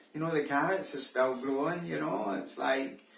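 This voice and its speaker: With noticeable background noise and audible room echo, the talking proceeds at a moderate pace. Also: man. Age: 60s. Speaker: vlogger. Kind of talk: casual monologue. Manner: hesitant, filler-heavy.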